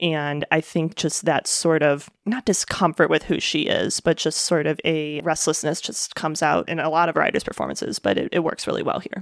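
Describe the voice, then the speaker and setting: A woman's very deep, low pitch with vocal fry, a moderate pace and hardly any pauses. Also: ordinary pitch variation. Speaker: film critic podcast co-host. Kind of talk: casual film discussion.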